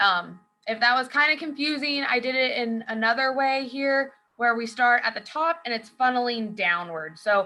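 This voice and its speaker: At a moderate pace, a woman speaks in a high pitch with ordinary pitch variation and a bright, sharp tone. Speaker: author and rodeo athlete. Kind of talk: presentation. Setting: video call.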